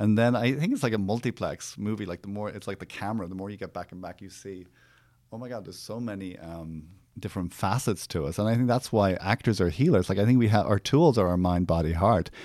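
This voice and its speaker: A man with an Irish accent, fairly low-pitched, dark and mellow in tone, very fast, with ordinary pitch variation and big swings in loudness. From Ireland. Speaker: therapist and actor. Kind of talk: casual chat. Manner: halting.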